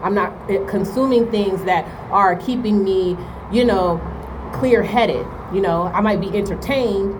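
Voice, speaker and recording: Noticeable background noise and audible room echo accompany a woman speaking at a medium pitch with ordinary pitch variation. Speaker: spiritual advisor / oracle reader. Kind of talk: spiritual talk to camera. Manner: fast; casual, many fillers like right and okay.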